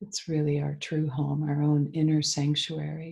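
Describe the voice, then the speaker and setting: Soft-spoken and somewhat breathy, a woman talks at a fairly slow pace in a very deep, low pitch with a dark, mellow tone and monotone, flat intonation. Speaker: EFT tapping practitioner. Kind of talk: guided meditation. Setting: video call.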